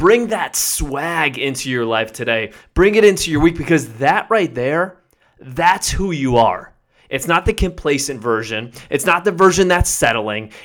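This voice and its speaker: Very wide pitch swings and an energetic, upbeat tone at a fairly slow pace, on a very clean recording with a silent background. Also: man, fairly high pitch for a man. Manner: direct, commanding and motivational, using repeated imperatives; energetic, upbeat and encouraging, building to a rallying close.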